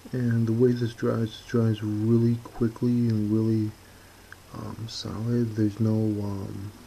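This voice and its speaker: A soft-spoken man with an American accent, medium in pitch, monotone and flat, fairly slow, with big swings in loudness and noticeable background noise. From US Midwest, Chicago suburbs. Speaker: hobby painting youtuber. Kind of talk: tutorial. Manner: halting.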